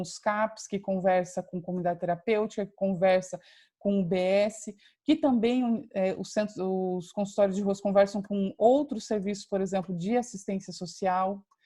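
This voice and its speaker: Against a quiet background, a woman with a dark, mellow, somewhat breathy voice speaks at a medium pitch and moderate pace, with fairly even intonation and big swings in loudness. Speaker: university lecturer. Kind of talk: lecture. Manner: hesitant, many fillers.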